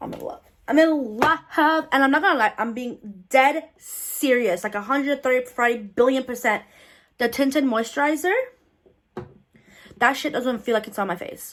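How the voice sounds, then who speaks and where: The voice has an animated tone and big swings in loudness, moving at a moderate pace with ordinary pitch variation. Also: woman, high pitch for a woman. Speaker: beauty vlogger. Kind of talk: makeup tutorial review. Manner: loud, animated.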